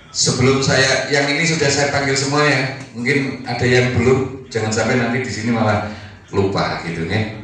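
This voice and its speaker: Speaking with a Javanese accent at a fairly slow pace, a man uses a medium pitch with ordinary variation, over noticeable background noise and audible room echo. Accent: Javanese Indonesian. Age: 60s. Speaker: retired teacher, community organizer. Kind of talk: speech at community meeting.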